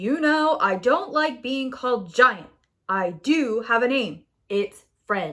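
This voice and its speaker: A woman speaks slowly in a put-on character voice with a high pitch. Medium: read story. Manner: loud, rhyming threats.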